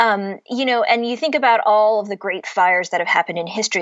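An ordinary speaking voice, a woman's, fairly high in pitch, with ordinary pitch variation. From US Midwest (Cleveland, Ohio). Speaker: novelist. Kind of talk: interview.

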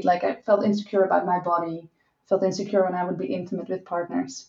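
A woman with a Dutch accent. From Netherlands. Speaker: sex and relationship coach. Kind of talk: interview.

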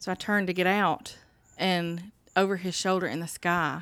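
A woman with a Southern US accent and fairly even intonation, on a very clean recording with a silent background. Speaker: grieving sister. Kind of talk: casual chat.

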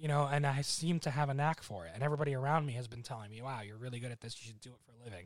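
This man speaks very fast with hardly any pauses, at a medium pitch with ordinary variation and big swings in loudness. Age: 20s. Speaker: podcast guest. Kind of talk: casual chat.

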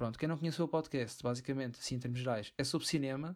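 A man with an ordinary speaking voice and fairly high pitch keeps a fairly even intonation in a very clean recording with a silent background. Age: 20s. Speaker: film podcast co-host. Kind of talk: casual chat.

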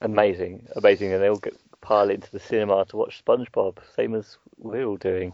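In an English Midlands accent, a man speaks at a fairly low pitch. His intonation is monotone and flat, and his pace fairly quick. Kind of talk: casual chat podcast.

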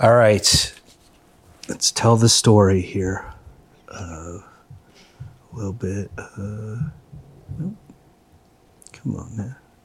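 At a very slow pace, a man speaks in a fairly low, somewhat breathy voice. His loudness swings a lot, and he leaves long, frequent pauses. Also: ordinary pitch variation. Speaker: comedy podcast host. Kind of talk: comedic improv banter. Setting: recording with microphone.

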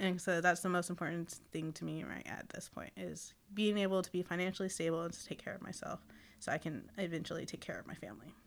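With vocal fry and big swings in loudness, a woman talks at a very fast pace in a fairly low pitch with fairly even intonation. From Seminole, Oklahoma. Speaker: native fashion designer. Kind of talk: casual chat.

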